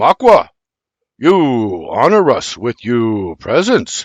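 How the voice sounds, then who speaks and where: A man's put-on character voice, fairly high in pitch, with very wide pitch swings and a very slow pace. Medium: read story. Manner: direct, terse.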